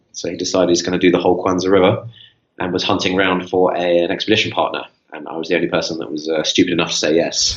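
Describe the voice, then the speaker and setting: A man's very deep, low voice in a British accent, at a very fast pace with fairly even intonation. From England (south, West Sussex), born in Rome. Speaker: history teacher and adventurer. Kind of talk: interview.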